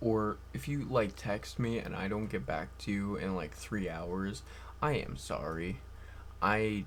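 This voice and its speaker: A man speaks at a fairly low pitch. His voice has vocal fry. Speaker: vlogger. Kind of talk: casual monologue.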